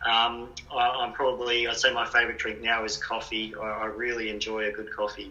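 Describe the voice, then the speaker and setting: A man at a medium pitch talks at a fairly quick pace in a monotone, flat intonation. Noticeable background noise and audible room echo are present. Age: 40s. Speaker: writer. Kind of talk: interview answers. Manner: hesitant, many fillers.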